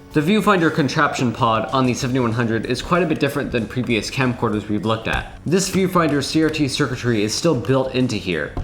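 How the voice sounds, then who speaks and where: The speech runs at a very fast pace with hardly any pauses, lively intonation and very even loudness. Noticeable background noise and audible room echo come through. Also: man, medium pitch for a man. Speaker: tech video creator. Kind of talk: tutorial. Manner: casual.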